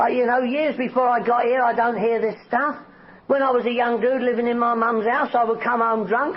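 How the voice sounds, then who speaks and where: Over noticeable background noise, a man with a London accent speaks at a fairly quick pace in an extremely high pitch. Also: very even loudness. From North West London, England. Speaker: recovery speaker. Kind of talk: recovery testimony talk. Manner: animated.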